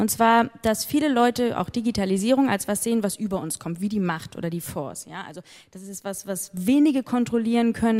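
A woman's ordinary speaking voice, fairly high in pitch and fairly quick in pace. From northern Germany, Hamburg. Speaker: innovation fund manager. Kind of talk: live stage interview. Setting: stage with audience.

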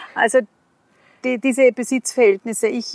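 A woman speaks at a moderate pace in a fairly high pitch, recorded with a dry, close sound and no echo. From Upper Austria, rural. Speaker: kindergarten teacher. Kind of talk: casual interview. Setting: outdoors in a forest.

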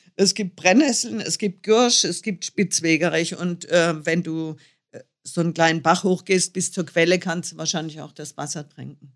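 A woman speaks in an unremarkable speaking voice at a fairly low pitch and a moderate pace, with ordinary pitch variation and big swings in loudness. The recording is very clean, with a silent background. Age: 60s. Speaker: motorcycle traveller. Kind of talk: interview.

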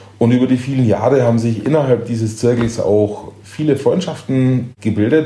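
A man's voice carries audible room echo. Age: 50s. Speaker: chef and hotel owner. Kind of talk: interview.

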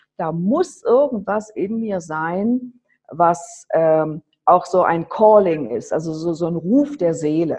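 A woman with an ordinary speaking voice talks at a fairly low pitch with lively intonation. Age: 50s. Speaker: charity founder running children's homes in Nepal. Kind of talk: interview.

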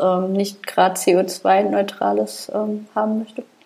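A woman speaks over noticeable background noise. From Saarland, Germany. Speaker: podcast co-host. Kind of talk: casual chat.

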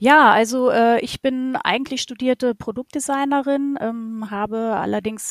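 In an ordinary speaking voice, a woman talks at a fairly slow pace with fairly high pitch and ordinary pitch variation, the sound dry and close with no echo. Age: 40s. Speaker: holiday rental host and shop owner. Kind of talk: interview.

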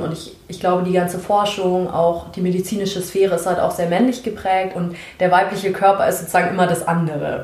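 Amid noticeable background noise and audible room echo, a woman talks fairly quickly at a medium pitch. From Germany, Munich. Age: 20s. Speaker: sociology student and activist. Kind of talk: casual interview conversation.

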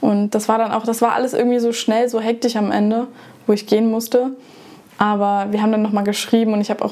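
Over noticeable background noise, a woman speaks at a very fast pace in a fairly high pitch, with very even loudness and monotone, flat intonation. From Germany. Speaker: former exchange student. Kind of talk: casual interview.

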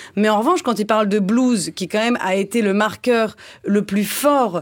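Speaking at a fairly slow pace, a woman uses a fairly high pitch with ordinary variation. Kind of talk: satirical panel discussion. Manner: higher pitch than usual.

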